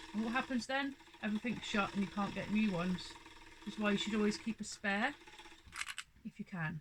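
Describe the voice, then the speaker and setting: A woman speaks at a fairly quick pace and fairly high pitch, with ordinary pitch variation. Long, frequent pauses break up her speech over noticeable background noise. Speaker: sewing fabric shop owner. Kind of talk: tutorial. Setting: home sewing room. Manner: loud; casual.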